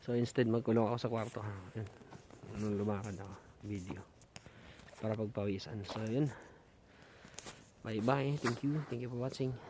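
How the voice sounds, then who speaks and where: Against noticeable background noise, a soft-spoken man talks at a moderate pace with long, frequent pauses. His pitch is medium and his intonation fairly even. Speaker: vlogger. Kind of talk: walking vlog. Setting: outdoors, mountain park.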